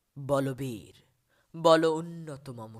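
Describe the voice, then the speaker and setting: A man's ordinary pitch variation comes through in a very clean recording against a silent background. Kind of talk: poetry reading. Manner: passionate, fiery.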